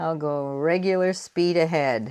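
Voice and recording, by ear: A woman with an American accent speaks slowly at a low pitch, with ordinary pitch variation. Her tone is clear and smooth, slightly mellow.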